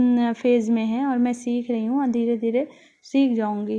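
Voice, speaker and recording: A woman with a high pitch and a dark, mellow tone talks at a moderate pace in a monotone, flat manner. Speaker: home vlogger. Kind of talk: voiceover vlog narration. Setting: home kitchen. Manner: casual, with hesitations.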